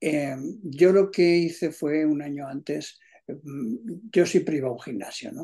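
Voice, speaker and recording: With long, frequent pauses and big swings in loudness, a man with a dark, mellow tone and a fairly high pitch talks at a fairly slow pace against a quiet background. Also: ordinary pitch variation. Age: 70s. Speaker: amateur tennis player. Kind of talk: casual chat. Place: home room. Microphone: video call.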